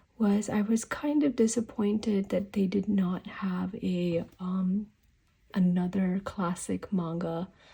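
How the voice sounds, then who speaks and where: Very slowly, a woman speaks in a somewhat breathy voice with ordinary pitch variation. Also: medium pitch for a woman. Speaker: stationery YouTuber. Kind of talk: casual product review. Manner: hesitant, many fillers.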